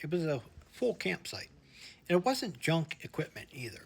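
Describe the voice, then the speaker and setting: With lively intonation and a somewhat breathy sound, a man talks at a moderate pace. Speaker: outdoor vlogger. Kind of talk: vlog narration.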